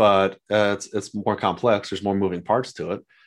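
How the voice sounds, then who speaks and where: A man with a normal speaking voice and an American accent, fairly low in pitch, talking at a fairly quick pace against a quiet background. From Southern California (San Diego). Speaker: real estate investor. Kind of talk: interview.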